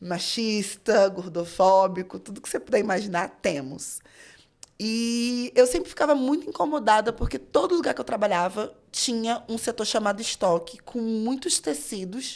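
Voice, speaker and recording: This woman has a fairly high pitch with very wide pitch swings. She keeps a moderate pace. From Rio de Janeiro, Brazil. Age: 30s. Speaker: fashion designer and teacher. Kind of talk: casual interview chat.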